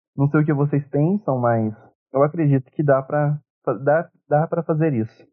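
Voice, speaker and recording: A man talks at a moderate pace in a fairly high pitch with fairly even intonation. It is an ordinary speaking voice. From São Paulo interior, Brazil. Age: 20s. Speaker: podcast co-host, history student. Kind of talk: casual discussion.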